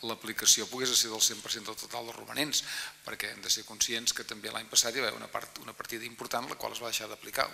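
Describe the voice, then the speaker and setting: A man talks at a very fast pace in a flat, monotone delivery. Light background noise can be heard. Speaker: council chair presiding the session. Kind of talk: formal council debate speech. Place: hall. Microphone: podium.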